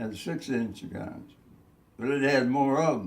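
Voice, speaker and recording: A man talks at a moderate pace with a medium pitch and ordinary pitch variation. His voice has vocal fry. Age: 80s+. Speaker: war veteran; navy veteran. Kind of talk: interview answer.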